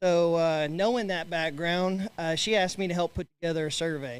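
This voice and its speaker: Speaking in a Texan accent, a man holds a high pitch with fairly even intonation at a moderate pace. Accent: Texan (US Southern). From West Texas. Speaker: agricultural banker and sheep breeder. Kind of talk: committee report at annual meeting.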